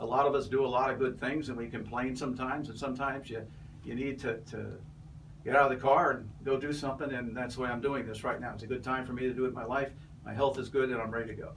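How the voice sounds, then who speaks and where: A man's monotone, flat voice at a very fast pace, with audible room echo. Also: medium pitch for a man. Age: 70s. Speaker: political candidate, retired Navy captain. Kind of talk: interview. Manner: halting, many fillers.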